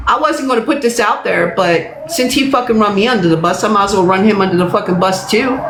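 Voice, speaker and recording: A woman at medium pitch, very fast and with lively intonation, her loudness very even, with audible room echo and noticeable background noise. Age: 60s. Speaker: livestreamer. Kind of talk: livestream rant. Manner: emphatic, repetitive.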